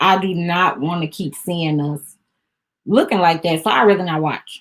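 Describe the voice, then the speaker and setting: With a slight Southern US accent, a woman talks at a moderate pace in a fairly low pitch, using ordinary pitch variation. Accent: a little country. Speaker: vlogger / lifestyle talk host. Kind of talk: casual chat.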